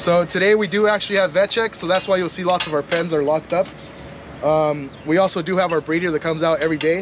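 A man at a high pitch and very fast pace, fairly even intonation, dry sound with no echo and noticeable background noise. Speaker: dairy farm manager. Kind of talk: farm tour explanation. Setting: outdoors on a farm. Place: farm.

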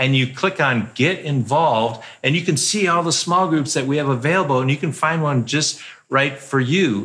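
A man's bright, sharp tone with ordinary pitch variation. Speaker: church pastor. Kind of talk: church announcements. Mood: warm, playful. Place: stage.

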